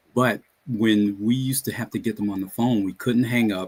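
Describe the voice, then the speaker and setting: With an American accent, a man talks at a moderate pace, his pitch fairly low with ordinary variation. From Brooklyn, New York. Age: 60s. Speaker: retired pension counselor. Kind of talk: interview conversation.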